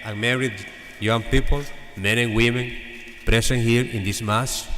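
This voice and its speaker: Amid audible room echo and noticeable background noise, a man of medium pitch speaks with fairly even intonation. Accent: Salvadoran. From El Salvador. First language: Spanish. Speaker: priest. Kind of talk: homily. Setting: church.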